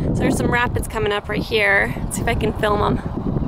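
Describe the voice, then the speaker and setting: The speech moves at a moderate pace, dry with no echo, over noticeable background noise. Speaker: vlogger. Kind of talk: casual vlog chat. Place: waterside. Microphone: phone near.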